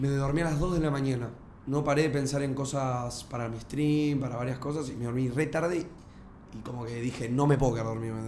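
A man at medium pitch, fairly quick pace and fairly even intonation, with audible room echo and noticeable background noise. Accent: Rioplatense. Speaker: podcast co-host and streamer. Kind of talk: casual chat.

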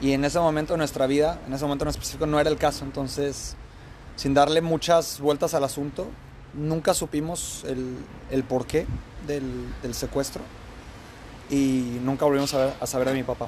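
A man's fairly high, monotone voice with flat intonation, at a moderate pace broken by long, frequent pauses. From Mexico, Guadalajara. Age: 30s. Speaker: immigrant sharing life story. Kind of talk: casual interview. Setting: beachfront café.

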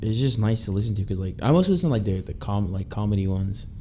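This man's voice sits fairly low in pitch with ordinary variation. He talks at a very fast pace. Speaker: podcast host. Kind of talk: casual banter podcast. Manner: joking, laid-back.

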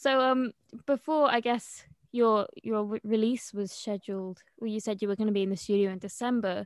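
A woman's fairly high voice, an ordinary speaking voice, at a moderate pace with fairly even intonation, in a dry, close sound with no echo. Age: young. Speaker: student podcast host. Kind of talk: casual interview.

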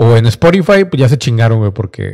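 This man's medium-pitched voice is somewhat breathy, with an animated tone and very wide pitch swings. The sound is dry and close with no echo. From Mexico (Monterrey). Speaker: podcast host. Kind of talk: casual solo monologue.

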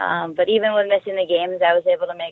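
In an ordinary speaking voice, a woman talks at a moderate pace and a medium pitch. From US West Coast, San Diego. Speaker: hockey player and coach. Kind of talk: interview.

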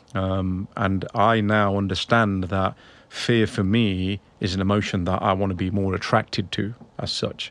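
Speaking at a fairly slow pace, a man with a fairly low voice keeps a monotone, flat intonation. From UK. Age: 30s. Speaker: sales professional. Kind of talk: interview conversation.

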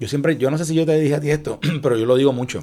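At a very fast pace, a man with a fairly high voice talks with ordinary pitch variation. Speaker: former political aide. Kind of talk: casual chat. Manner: halting.

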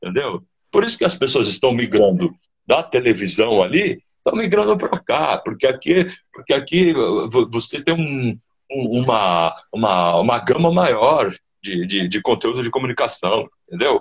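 A somewhat breathy man at a medium pitch and moderate pace, with very wide pitch swings. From São Paulo (Mooca), Brazil. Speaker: sports narrator. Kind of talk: casual chat. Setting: live video call. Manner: halting.

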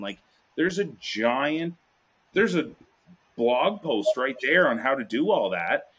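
Vocal fry runs through a man's fairly high-pitched voice as it makes very wide pitch swings. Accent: slight Prince Edward Island. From Prince Edward Island. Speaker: podcast guest, urban greenhouse grower. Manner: casual, profane.

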